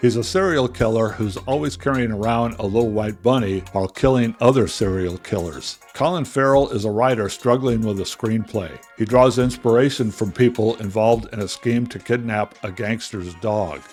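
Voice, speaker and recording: A man talking with hardly any pauses, music in the background. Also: medium pitch for a man, ordinary pitch variation, moderate pace. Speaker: film reviewer. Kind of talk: film review narration.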